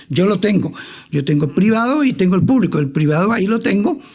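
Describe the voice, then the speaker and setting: Very fast speech from a man. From Honduras, Tegucigalpa. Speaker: finance expert. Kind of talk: interview.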